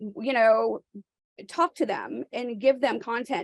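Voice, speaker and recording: A woman speaks with an American accent in a dry, close sound with no echo. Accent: Southern accent here and there. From New York, then US South from childhood. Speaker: realtor. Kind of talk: coaching call.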